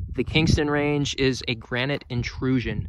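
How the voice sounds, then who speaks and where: A man speaks in a bright, sharp tone. The sound is dry with no echo. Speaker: outdoor explorer vlogger. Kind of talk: casual vlog commentary. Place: open country. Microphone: phone near.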